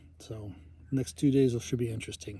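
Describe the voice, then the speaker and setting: Soft-spoken and somewhat breathy, a man of medium pitch talks at a fairly quick pace in a dark, mellow tone with fairly even intonation. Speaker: long-distance hiker vlogger. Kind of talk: video diary. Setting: outdoors, campground. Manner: hesitant, many fillers.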